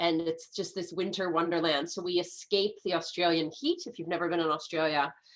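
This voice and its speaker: In an American accent, a woman speaks at a fairly low pitch with fairly even intonation and hardly any pauses. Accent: American, shifts with location. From US, San Francisco. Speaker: medical astrologer and naturopath. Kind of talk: casual interview chat.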